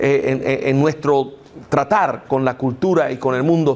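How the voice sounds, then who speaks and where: A man at a fairly slow pace. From United States. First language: English (speaking Spanish). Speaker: apologetics lecturer. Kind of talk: lecture. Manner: halting, many fillers.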